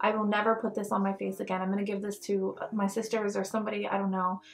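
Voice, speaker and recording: Over background music, a woman speaks at a fairly quick pace in a fairly high pitch. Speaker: beauty vlogger. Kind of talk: casual product review talk. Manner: animated.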